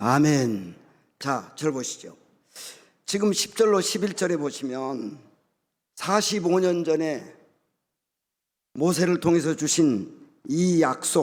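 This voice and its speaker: On a very clean recording with a silent background, a man speaks at a very slow pace in a fairly high voice with lively intonation and long, frequent pauses. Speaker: guest pastor. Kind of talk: sermon.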